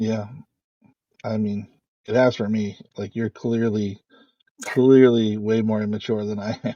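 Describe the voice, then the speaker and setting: A man speaks at a fairly slow pace in a monotone, flat intonation, with long, frequent pauses. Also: fairly low pitch for a man. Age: 40s. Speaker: podcast co-host. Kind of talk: casual chat.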